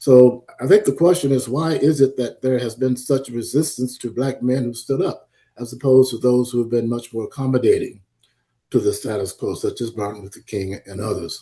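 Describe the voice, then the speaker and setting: With an American accent, a man speaks at a medium pitch with ordinary pitch variation. His tone is dark and mellow, somewhat breathy, against a quiet background. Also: fairly quick pace. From US South (Florida). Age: 80s+. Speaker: historian and psychology professor. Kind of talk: lecture. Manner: hesitant, many fillers.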